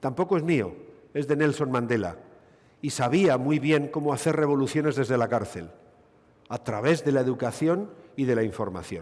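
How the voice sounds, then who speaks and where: Speaking at a moderate pace with a Basque accent, a man of medium pitch uses lively intonation and leaves long, frequent pauses. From Basque Country, Spain. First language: Basque (speaking Spanish). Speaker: gynecologist, conference speaker. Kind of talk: medical conference lecture.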